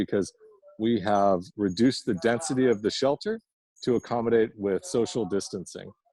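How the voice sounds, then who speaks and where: With a dark, mellow tone and a medium pitch, a man speaks at a fairly quick pace and ordinary pitch variation, the sound dry and close with no echo. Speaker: nonprofit leader. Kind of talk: guided tour presentation. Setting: homeless shelter, filmed walk-through. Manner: lowered voice.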